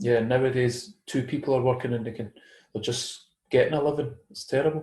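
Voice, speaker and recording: A man's medium-pitched, somewhat breathy voice with a Scottish accent, dark and mellow in tone, fairly even in intonation and fairly quick in pace. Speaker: conspiracy theory commentator. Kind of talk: casual chat.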